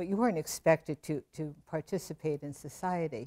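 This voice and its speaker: With an American accent, a woman speaks at a very deep, low pitch in a dark, mellow tone. The sound is dry and close, with no echo. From New Jersey. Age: 80s+. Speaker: retired math professor. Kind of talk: interview.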